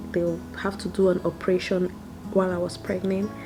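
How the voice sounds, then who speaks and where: A soft-spoken woman at a moderate pace, monotone and flat, with noticeable background noise. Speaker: mother recording a video for her son. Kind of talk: personal storytelling. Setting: at home while baby sleeps. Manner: soft-spoken, talking low.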